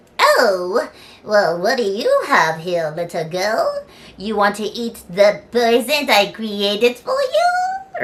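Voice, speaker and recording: In a put-on character voice, a female-sounding speaker talks at a very slow pace with a fairly high pitch. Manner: wicked, cooing.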